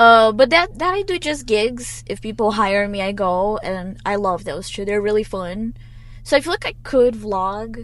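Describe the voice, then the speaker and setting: A woman speaks at a moderate pace with lively intonation. Her pitch is fairly high. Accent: Brazilian. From Brazil. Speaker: singer-songwriter. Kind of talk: casual chat interview. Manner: laughs loudly.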